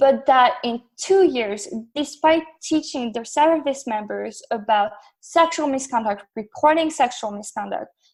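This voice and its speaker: Speaking at a fairly slow pace, a woman with a French accent uses a high pitch and lively intonation. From northern France, near Belgian border. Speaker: graduate researcher on military gender. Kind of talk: podcast interview.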